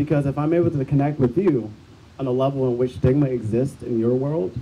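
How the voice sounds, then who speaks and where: Speaking with an American accent, a man talks at a fairly quick pace. His medium-pitched voice is somewhat breathy. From Bloomington, Illinois. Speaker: activist. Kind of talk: testimony. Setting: outdoor rally. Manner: upbeat; unscripted.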